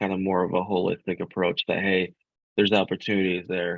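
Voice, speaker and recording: This man has a fairly low pitch. He speaks with an American accent. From US Midwest, Grand Rapids, Michigan. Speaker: ad tech partnerships director. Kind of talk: podcast interview. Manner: halting, frequent repetitions.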